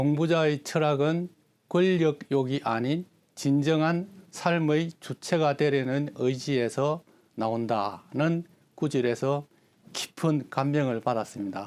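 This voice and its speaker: Speaking at a very slow pace, a man with a fairly high pitch keeps his loudness very even and his pitch variation ordinary, on a very clean recording with a silent background. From South Korea, Geochang (South Gyeongsang). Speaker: Confucian youth organization leader, etiquette lecturer. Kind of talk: interview answers. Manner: formal.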